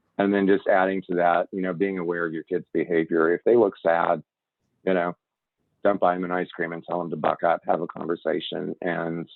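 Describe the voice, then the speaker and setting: This man has a very deep, low pitch. His intonation is monotone and flat. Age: 50s. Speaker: community health presenter. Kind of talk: panel presentation. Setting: video call.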